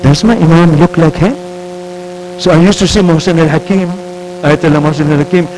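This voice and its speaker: Music plays in the background, with audible room echo. A man speaks at a fairly high pitch with fairly even intonation. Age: 70s. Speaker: professor. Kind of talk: lecture.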